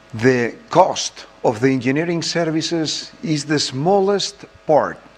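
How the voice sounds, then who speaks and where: Noticeable background noise runs under a man speaking at a very slow pace. His pitch is fairly high, with ordinary variation. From Spain. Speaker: president of an engineering federation. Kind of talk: conference presentation.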